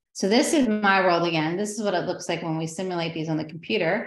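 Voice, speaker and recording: In a room with audible echo, a woman talks at a fairly low pitch with ordinary pitch variation. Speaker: astrophysicist. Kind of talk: public lecture. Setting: video call. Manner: fast.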